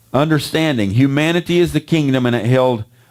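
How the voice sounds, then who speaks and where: A man at a fairly quick pace. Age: 60s. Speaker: preacher. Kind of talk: sermon. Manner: repetitive, emphatic.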